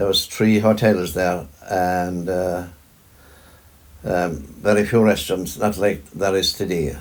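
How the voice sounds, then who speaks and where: With a Kerry accent, a man speaks at a very slow pace in a very deep, low pitch, leaving long, frequent pauses. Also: fairly even intonation. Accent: Kerry Irish. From Ireland, County Kerry. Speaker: farmer. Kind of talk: interview answer.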